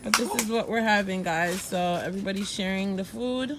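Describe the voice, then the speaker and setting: Animated in tone, a woman talks at a moderate pace and a medium pitch with lively intonation, over noticeable background noise and audible room echo. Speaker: vlogger. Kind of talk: casual vlog chat. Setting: outdoors camping.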